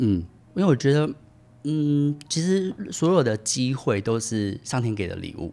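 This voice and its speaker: Music plays in the background as a man talks at a fairly slow pace. His medium-pitched voice makes very wide pitch swings. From Taiwan, Tainan. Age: 30s. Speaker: podcast guest, former international sales worker. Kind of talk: casual interview.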